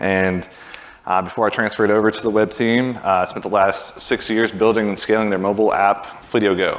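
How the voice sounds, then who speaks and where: Over noticeable background noise, a man with a fairly low pitch speaks at a fairly quick pace in a monotone, flat intonation. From US South, Birmingham, Alabama. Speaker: software engineering manager. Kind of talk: conference talk.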